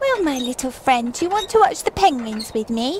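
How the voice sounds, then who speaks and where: A female-sounding, put-on character voice rattles along at a fairly quick pace with a high pitch. Clear background noise is present. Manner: mimicking an earlier speaker's voice exactly.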